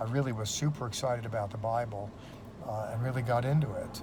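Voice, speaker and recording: There is noticeable background noise and audible room echo as a man with an American accent speaks at a medium pitch. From United States. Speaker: seminary professor. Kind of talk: testimony. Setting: in a police car. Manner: casual, with many fillers.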